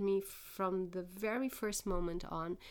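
A woman speaks with a Portuguese accent and fairly even intonation. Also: very clean recording, silent background. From Portugal. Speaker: linguist. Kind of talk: interview.

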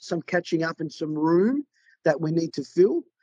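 A dark, mellow tone with an Australian accent at a moderate pace, in a dry, close sound with no echo. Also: man. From South Australia, Adelaide. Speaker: commercial property sales agent. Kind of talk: podcast interview.

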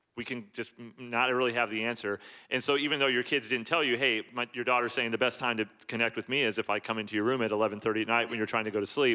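A man speaks at a very fast pace in a bright, sharp tone with fairly even intonation. The recording is very clean, with a silent background. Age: 40s. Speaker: pastor. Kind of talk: church service interview.

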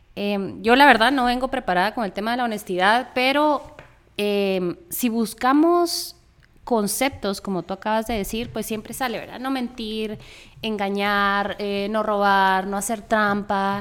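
A woman with a fairly high pitch speaks slowly in a plain, everyday voice, with ordinary pitch variation, in a very clean recording with a silent background. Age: 30s. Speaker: podcast co-host, architect. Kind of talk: casual chat.

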